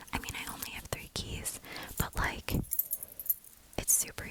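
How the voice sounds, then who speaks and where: A woman is whispering at a fairly slow pace. Noticeable background noise can be heard. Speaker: student. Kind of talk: ASMR whispered bag tour. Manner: whispered.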